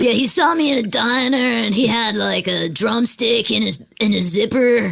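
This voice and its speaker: A put-on character voice from a woman, with lively intonation and very even loudness. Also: fairly high pitch for a woman, moderate pace. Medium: comedy sketch. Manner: laid-back rocker slang, agreeable "yeah".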